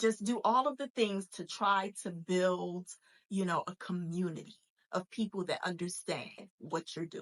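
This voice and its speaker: An ordinary speaking voice moves at a fairly slow pace with ordinary pitch variation, the sound dry and close with no echo. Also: woman, medium pitch for a woman. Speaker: faith-based entrepreneur coach and podcast host. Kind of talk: motivational podcast monologue. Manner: casual, conversational with fillers.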